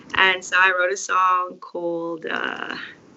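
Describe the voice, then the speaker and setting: A woman speaks in a medium pitch. Noticeable background noise is present. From South Africa, Mpumalanga. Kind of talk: casual chat.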